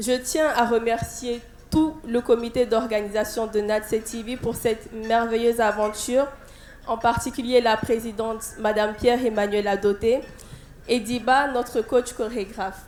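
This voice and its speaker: A woman with a Burkinabe accent talks at a fairly slow pace. Her fairly high pitch stays in a monotone, flat intonation. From Burkina Faso. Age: 20s. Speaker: beauty pageant contestant. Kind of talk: prepared speech. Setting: stage with audience. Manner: halting.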